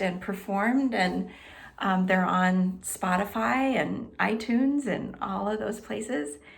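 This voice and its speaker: Heard quietly with audible room echo, a woman speaks at a medium pitch with ordinary pitch variation. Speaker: health and wellness coach. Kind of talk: self-introduction to camera. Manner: slow; pauses, lets there be quiet.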